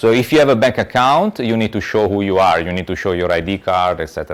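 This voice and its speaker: A man with an Italian accent, fairly low in pitch, very fast, with lively intonation. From Italy. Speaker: lecturer. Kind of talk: lecture. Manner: halting, many repetitions and fillers.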